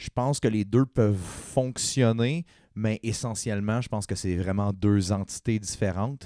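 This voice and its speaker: A man talks at a fairly slow pace with a fairly low pitch and a dark, mellow tone. The sound is dry and close with no echo, in a very clean recording with a silent background. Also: ordinary pitch variation. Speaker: punk and acoustic musician. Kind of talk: casual chat.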